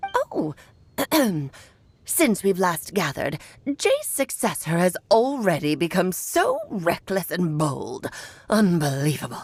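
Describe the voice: A put-on character voice, female-sounding and medium in pitch, at a fairly slow pace with long, frequent pauses.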